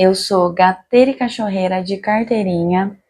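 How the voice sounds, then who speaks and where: A woman with a São Paulo accent speaks at a fairly slow pace. The background is quiet. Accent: Paulistano Brazilian Portuguese. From Brazil, São Paulo city. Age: 30s. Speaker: general practitioner doctor. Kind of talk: self-introduction video monologue. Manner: casual, conversational.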